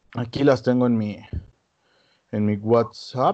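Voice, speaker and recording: With a Mexican accent, a man speaks at a medium pitch in a dark, mellow tone. His pace is fairly slow, and the background is quiet. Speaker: podcast co-host. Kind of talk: casual chat.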